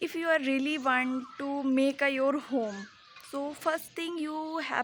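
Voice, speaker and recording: A woman speaks at a high pitch. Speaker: English learner vlogger. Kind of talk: casual vlog monologue. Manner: slow; halting.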